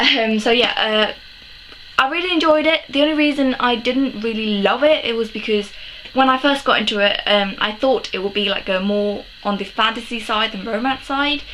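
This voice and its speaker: A woman's fairly high voice with a British accent, ordinary pitch variation and a moderate pace, plus noticeable background noise. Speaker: book vlogger. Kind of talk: casual chat. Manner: hesitant, many ums.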